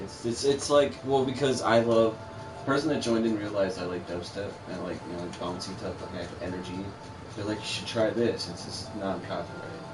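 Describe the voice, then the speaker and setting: Music plays in the background, and audible room echo surrounds a man with a fairly low pitch and ordinary pitch variation. He talks at a fairly quick pace with big swings in loudness. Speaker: gaming channel co-host. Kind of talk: casual gameplay chat. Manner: halting, many fillers and repeats.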